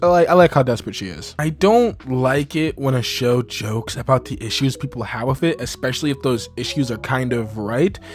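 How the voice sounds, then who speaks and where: Music plays in the background as a man with a medium pitch speaks at a fairly quick pace with ordinary pitch variation. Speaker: voice actor. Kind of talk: casual review talk to camera.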